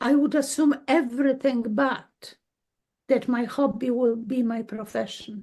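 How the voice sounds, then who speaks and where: In a Polish accent, a woman speaks fairly slowly with a high pitch and a dark, mellow tone. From Poland. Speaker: dowser and healer. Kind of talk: interview. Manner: halting.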